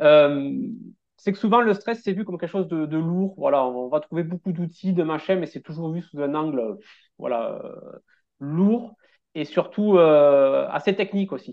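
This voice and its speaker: Speaking fairly slowly, a man uses a high pitch with ordinary pitch variation. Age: 30s. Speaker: relaxation therapist and stress coach. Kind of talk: interview.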